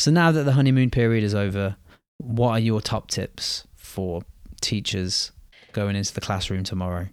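Here is a normal speaking voice at a moderate pace, with ordinary pitch variation. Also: man, fairly low pitch for a man. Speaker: teacher podcast host. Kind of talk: casual chat.

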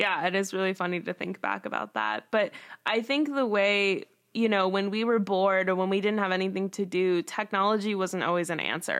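On a very clean recording with a silent background, a woman with a plain, everyday voice speaks at a fairly quick pace in a medium pitch with fairly even intonation. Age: 20s. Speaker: student podcast host. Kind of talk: casual chat.

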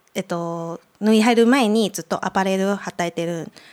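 The speaker has a Mandarin Chinese accent. The pace is moderate. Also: woman. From Taiwan, Taipei. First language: Mandarin Chinese (speaking Japanese). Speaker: podcast guest. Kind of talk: casual chat. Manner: halting, many fillers.

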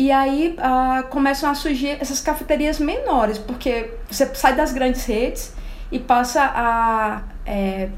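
A woman talks at a high pitch, with room echo audible around her. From Alagoas, Brazilian Northeast. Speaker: coffee enthusiast. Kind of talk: casual chat.

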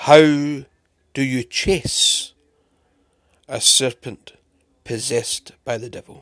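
A man talks very slowly with long, frequent pauses and big swings in loudness, in a dry, close sound with no echo. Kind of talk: spoken word poem. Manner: earnest, rhetorical questions, preachy; rhythmic, rhyming cadence.

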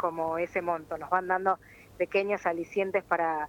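A woman speaks in an ordinary speaking voice, medium in pitch. Her moderate pace comes through in a dry, close sound with no echo. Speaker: press worker and union spokesperson. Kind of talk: phone interview.

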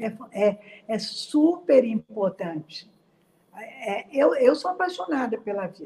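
At a very slow pace, a woman speaks in a fairly high pitch with very wide pitch swings and big swings in loudness. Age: 70s. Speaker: psychologist. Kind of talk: interview on quarantine mental health, live stream. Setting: live stream.

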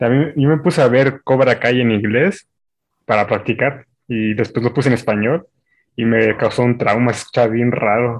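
A man with a Mexican accent, medium pitch and ordinary pitch variation, at a moderate pace over a quiet background. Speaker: university student. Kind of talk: casual chat.

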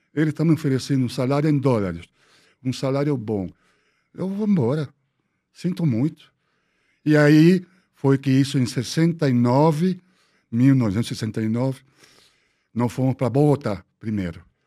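Speaking at a fairly slow pace with long, frequent pauses, a man uses lively intonation in a medium-pitched voice with a dark, mellow tone. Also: very clean recording, silent background. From Peru, Lima (Miraflores). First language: Spanish (speaking Portuguese). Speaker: architect. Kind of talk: interview storytelling.

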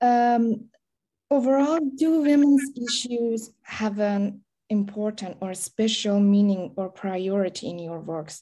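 A woman with a Persian accent, fairly high-pitched, with a dark, mellow tone and lively intonation at a very slow pace. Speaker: interviewer. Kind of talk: interview questions. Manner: halting, with frequent fillers.

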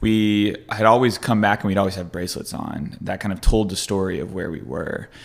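The speech comes at a fairly quick pace with hardly any pauses, big swings in loudness, ordinary pitch variation, and noticeable background noise. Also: man, fairly low pitch for a man. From Kentucky, near Louisville. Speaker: entrepreneur center manager. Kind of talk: casual interview chat.

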